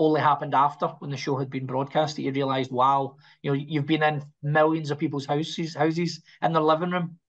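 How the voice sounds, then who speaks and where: The speaker has a Scottish accent and talks very fast in a monotone, flat intonation. The background is quiet. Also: man. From Scotland. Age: 40s. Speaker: actor. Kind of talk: interview. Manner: halting.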